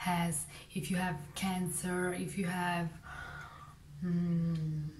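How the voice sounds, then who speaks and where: A woman speaks with a non-native accent and fairly low pitch. Audible room echo surrounds her voice. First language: not English. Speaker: vlogger. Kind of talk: casual monologue. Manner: halting.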